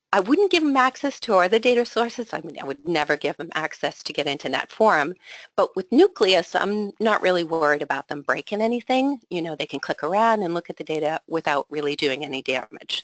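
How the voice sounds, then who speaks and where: At a fairly quick pace and with hardly any pauses, a woman at medium pitch swings very widely in pitch, in a dry, close sound with no echo. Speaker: association executive. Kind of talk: webinar presentation. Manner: fast.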